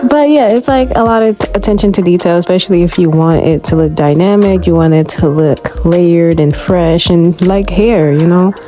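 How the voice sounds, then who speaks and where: A woman's fairly low voice with lively intonation, very even loudness, and hardly any pauses, over noticeable background noise. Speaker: webtoon artist vlogger. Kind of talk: casual art vlog voiceover. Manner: fast; animated.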